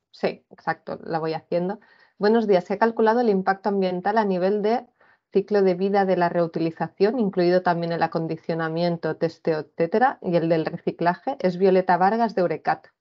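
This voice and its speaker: A woman at a moderate pace with fairly even intonation, against a quiet background. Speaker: cluster manager; webinar moderator. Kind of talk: formal presentation. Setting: video call. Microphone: video call.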